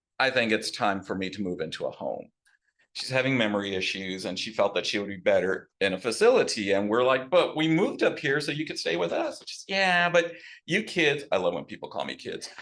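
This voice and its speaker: A man with a Texas accent at a fairly quick pace, over a quiet background. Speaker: new local resident. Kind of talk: casual storytelling talk.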